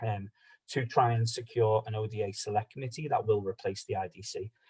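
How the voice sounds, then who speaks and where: A man talks with a Liverpool accent. His voice is somewhat breathy. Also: dry, close sound with no echo. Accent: Scouse. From Liverpool, England. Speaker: policy advocate. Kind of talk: online meeting presentation. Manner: fast.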